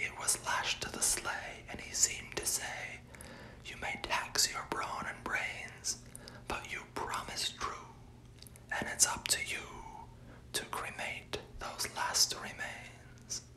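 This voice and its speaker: Whispering at a very slow pace, broken by long, frequent pauses, over noticeable background noise. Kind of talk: poetry reading, ASMR. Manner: whispered.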